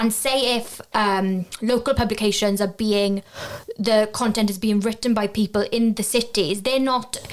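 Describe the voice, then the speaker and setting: With a Welsh accent, a woman speaks at a fairly slow pace and a fairly high pitch, her loudness very even and her intonation fairly even, over noticeable background noise. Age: 20s. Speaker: journalism graduate. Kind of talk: interview.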